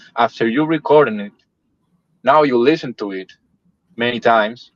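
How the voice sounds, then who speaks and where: A man with a Spanish accent talks at a medium pitch with ordinary pitch variation. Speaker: metal band musician. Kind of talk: casual interview.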